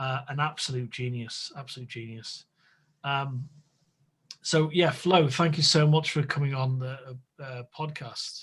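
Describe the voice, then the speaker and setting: Speaking with a northwest English accent, a man with a fairly high voice goes at a fairly slow pace. His intonation is fairly even, with big swings in loudness. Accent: northern English (northwest). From northwest England. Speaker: podcast host. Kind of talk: casual chat. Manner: halting.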